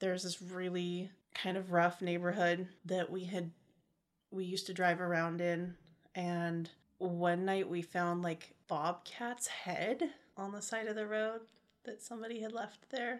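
In an American accent, a woman speaks at a medium pitch. Her pace is fairly slow and her intonation fairly even. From California, Modesto area. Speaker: podcast co-host. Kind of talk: casual chat.

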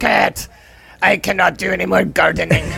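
A man puts on a raspy character voice. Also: moderate pace.

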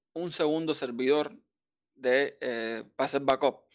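A man speaks at a fairly slow pace. His voice is fairly high. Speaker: server administrator. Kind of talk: casual chat.

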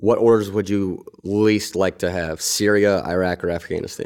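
A man with an ordinary speaking voice talks at a moderate pace, his pitch fairly low. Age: 30s. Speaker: veterans podcast host, military veteran. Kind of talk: casual interview.

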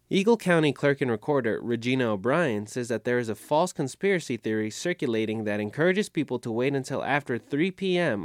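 A man with a plain, everyday voice talks fairly quickly at medium pitch with lively intonation. The recording is very clean, dry and close, with no echo and a silent background. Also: hardly any pauses. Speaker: radio host. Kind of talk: radio news magazine hosting. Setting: studio.

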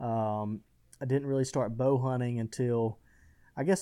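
With an Alabama accent, a man speaks in a dark, mellow tone. The recording is very clean, with a silent background. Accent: Southern US (Alabama). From US South, west Alabama. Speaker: hunting trade business founder. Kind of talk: podcast interview.

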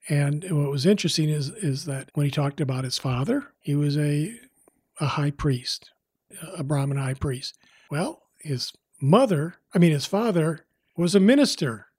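A man's fairly high, somewhat breathy voice at a moderate pace with ordinary pitch variation. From US Midwest. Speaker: documentary director and former TV news producer. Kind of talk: interview. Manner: halting, many fillers.

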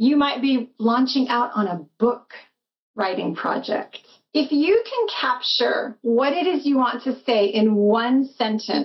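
The speech moves at a very slow pace, with ordinary pitch variation. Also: woman. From US West (Arizona, Hawaii). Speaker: writing coach, conference co-founder. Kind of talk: casual interview.

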